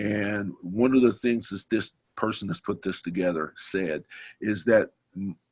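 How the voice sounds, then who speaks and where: In a dry, close sound with no echo, a man speaks at a fairly low pitch and fairly slow pace, with ordinary pitch variation. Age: 60s. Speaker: participant in business group discussion, former ad agency owner. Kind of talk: group discussion. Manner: halting, with many repetitions.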